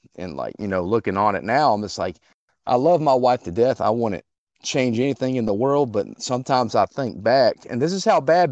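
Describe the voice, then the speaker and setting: A man in a normal speaking voice at a medium pitch, fairly quick and lively in intonation, with a dry, close sound and no echo. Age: 30s. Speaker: caller. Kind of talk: call-in conversation. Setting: phone call.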